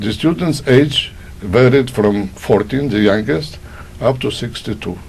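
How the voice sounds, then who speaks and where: A man at a medium pitch with a Polish accent, speaking fairly slowly with lively intonation over noticeable background noise. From Poland. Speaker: Holocaust survivor. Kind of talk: oral history testimony.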